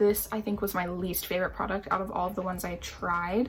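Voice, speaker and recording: A woman speaks with noticeable noise in the background. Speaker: beauty youtuber. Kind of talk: makeup tutorial. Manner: casual, lots of filler words.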